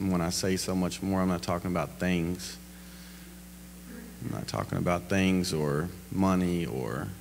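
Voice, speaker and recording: Audible room echo surrounds a man's very deep, low voice, which shows ordinary pitch variation. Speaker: guest speaker. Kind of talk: testimony. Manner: loud.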